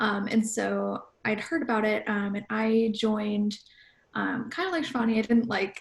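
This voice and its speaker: A woman with a plain, everyday voice talks at a moderate pace, her fairly high pitch showing ordinary variation. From US Midwest, Chicago suburbs. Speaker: pop culture journalist. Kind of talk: panel discussion.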